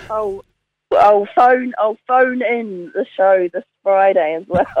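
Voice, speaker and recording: A woman speaks very slowly in a New Zealand accent, her pitch at a medium level. Her pitch varies in an ordinary way. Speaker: community board member. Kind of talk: casual chat. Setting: phone call.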